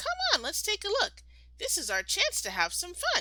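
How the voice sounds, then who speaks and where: A woman does a put-on character voice, squeaky and extremely high in pitch, at a moderate pace over light background noise. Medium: read story. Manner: energetic, eager.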